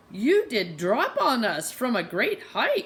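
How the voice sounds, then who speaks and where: In a put-on character voice, the speaker sounds nasal and moves at a fairly slow pace. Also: woman, high pitch for a woman. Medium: read story. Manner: odd grammar, suspicious.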